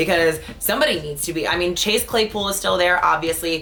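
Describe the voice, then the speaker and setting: A woman is heard over noticeable background noise. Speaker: sports show host. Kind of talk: casual solo sports commentary. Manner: fast; animated.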